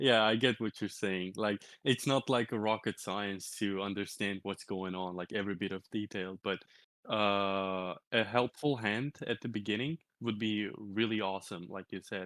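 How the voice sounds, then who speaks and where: Against a quiet background, a man with a Turkish accent talks at a moderate pace in a fairly low pitch, his intonation fairly even and the sound dry and close with no echo. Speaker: crypto community leader. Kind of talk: interview. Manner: halting, many repetitions and fillers.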